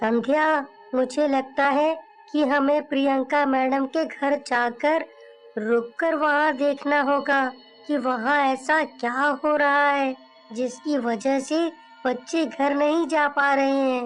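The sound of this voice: A man speaks at a fairly slow pace in a cartoonish character voice, with faint music playing in the background.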